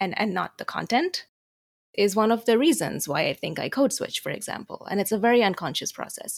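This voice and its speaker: Vocal fry runs through speech in an Americanized Indian accent, with very wide pitch swings. The pace is fairly quick. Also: woman, fairly high pitch for a woman. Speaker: international student. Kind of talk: moderated discussion.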